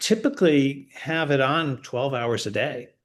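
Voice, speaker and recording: Very slowly, a man with an American accent speaks in a fairly high pitch with lively intonation. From Connecticut, US Northeast. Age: 60s. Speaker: retired expat. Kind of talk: interview. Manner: halting, many false starts.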